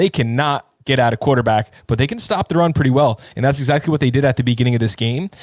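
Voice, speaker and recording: A man with a New York accent at a very fast pace, medium pitch, in a dry, close sound with no echo. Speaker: fantasy football co-host. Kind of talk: casual live stream chat.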